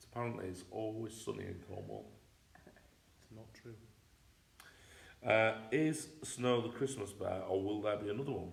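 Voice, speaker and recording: With an English accent and a medium pitch, a man speaks with ordinary pitch variation, big swings in loudness and long, frequent pauses, against noticeable background noise and audible room echo. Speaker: teddy bear company co-host. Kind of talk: casual live chat. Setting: livestream. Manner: fast.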